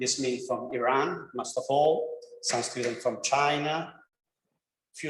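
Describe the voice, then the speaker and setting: A man with an Italian accent speaks fairly slowly in a fairly high pitch, with audible room echo. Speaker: professor, degree programme coordinator. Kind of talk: presentation to prospective students. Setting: classroom, streamed online. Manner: halting, non-fluent English.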